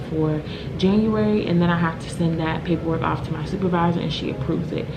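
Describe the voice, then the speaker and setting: A quiet woman speaks at a fairly low pitch and a moderate pace. Noticeable background noise is present. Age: 20s. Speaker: homeless services case manager. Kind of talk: casual vlog talk to camera. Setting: office. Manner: quiet, low voice.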